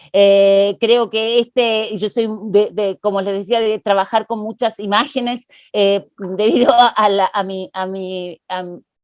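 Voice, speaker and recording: Recorded in a dry, close sound with no echo, a woman speaks at a fairly high pitch and a fairly slow pace. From Argentina. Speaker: panelist on gender and politics. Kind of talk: panel discussion. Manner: many hesitations and filler sounds.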